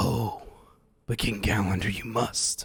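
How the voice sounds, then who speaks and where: A man uses a put-on character voice, raspy and menacing in tone. His pitch is fairly low and his pace fairly slow. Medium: actual play. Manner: menacing, ominous.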